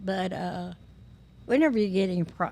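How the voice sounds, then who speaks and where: A woman with a Tennessee accent speaks at a moderate pace. Her pitch is medium, with ordinary variation. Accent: Southern US, West Tennessee. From West Tennessee. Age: 80s+. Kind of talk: podcast interview answer.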